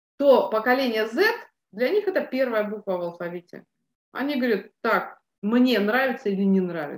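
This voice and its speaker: This woman has a plain, everyday voice with a fairly high pitch. Her intonation is lively and her pace moderate. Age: 50s. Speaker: business mentor. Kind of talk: interview. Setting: studio.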